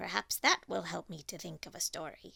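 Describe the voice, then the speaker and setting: Here a woman puts on a raspy character voice. She talks at a fairly quick pace. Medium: read story.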